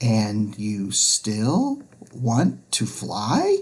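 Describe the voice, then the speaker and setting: A put-on character voice is delivered at a low pitch. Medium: read story. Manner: chirpy.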